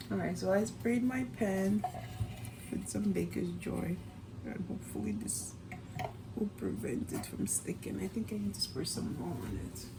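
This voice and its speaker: Whispering and soft-spoken, a woman talks at a moderate pace with long, frequent pauses, amid audible room echo and noticeable background noise. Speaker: cooking vlogger, mom. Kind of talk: cooking tutorial. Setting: home kitchen. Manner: whispering, soft-spoken; casual, chatty.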